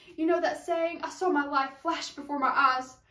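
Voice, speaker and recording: The delivery has a dramatic tone with fairly even intonation at a moderate pace. There is audible room echo over a quiet background. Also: woman. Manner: dramatic, earnest rhythmic delivery with rhyming cadence; direct pleading address to the listener, rising urgency. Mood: earnest, emotional. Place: home room. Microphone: camera far.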